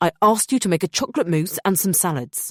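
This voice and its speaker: Putting on a growling character voice with high pitch and lively intonation, a man races along at a very fast pace in a dry, close sound with no echo. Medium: read story. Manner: imperious, angry with world-weary undertone.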